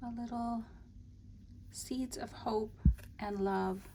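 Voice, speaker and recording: A woman speaks at a very slow pace. Her tone is relaxed and somewhat breathy. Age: 60s. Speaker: crafter / journaling video creator. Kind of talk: casual show-and-tell flip-through. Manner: relaxed, meandering with many fillers.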